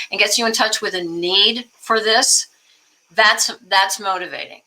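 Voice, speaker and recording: A woman's unremarkable speaking voice, at a moderate pace with ordinary pitch variation. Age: 60s. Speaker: political activist and singer-songwriter. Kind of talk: interview.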